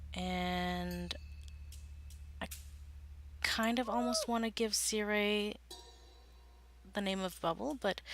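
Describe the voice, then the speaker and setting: Quiet and at very even loudness, a woman speaks at a very slow pace with long, frequent pauses. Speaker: gaming video creator. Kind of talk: let's play commentary. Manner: hesitant, many fillers.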